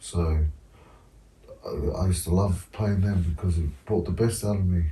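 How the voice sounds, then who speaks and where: Over noticeable background noise, a man with a New Zealand accent speaks at a very deep, low pitch with fairly even intonation. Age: 30s. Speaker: former rugby league player. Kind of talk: casual chat.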